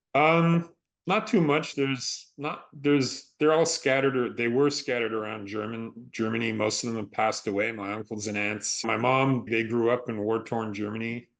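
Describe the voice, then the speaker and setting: Hardly pausing, a man in a plain, everyday voice talks at a moderate pace with medium pitch and ordinary pitch variation. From Canada. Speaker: stunt performer and actor. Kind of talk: interview.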